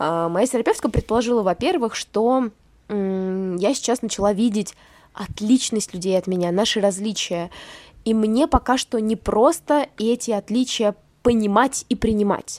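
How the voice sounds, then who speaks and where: Dry and close with no echo, the recording captures a woman with a fairly high pitch speaking at a moderate pace with ordinary pitch variation. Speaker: podcast co-host. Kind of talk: casual chat. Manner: sad-sounding.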